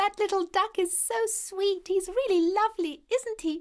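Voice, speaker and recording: A female-sounding voice puts on a squeaky character voice pitched extremely high. It moves at a moderate pace. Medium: cartoon.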